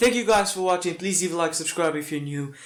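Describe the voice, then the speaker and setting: Non-native accent from a man, his pitch varying in an ordinary way. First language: not English. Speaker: football fan reactor. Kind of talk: reaction video. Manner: halting.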